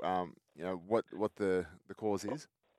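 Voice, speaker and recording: A man with an Australian accent, music playing in the background. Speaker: radio host. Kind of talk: casual interview.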